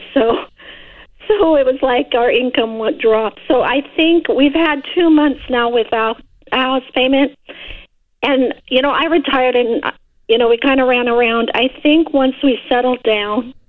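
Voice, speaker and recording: At a fairly slow pace, a woman with an American accent speaks at a high pitch with ordinary pitch variation and very even loudness. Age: 60s. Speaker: caller. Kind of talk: casual chat. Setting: phone call.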